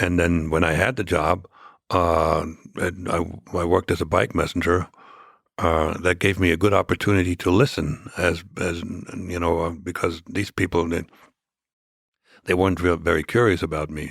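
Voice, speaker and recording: Someone with a German accent speaks in a monotone, flat intonation, leaving long, frequent pauses. The recording is very clean, with a silent background. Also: man, very deep, low pitch for a man, moderate pace. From East Germany. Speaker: former spy. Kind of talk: interview. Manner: halting, many fillers.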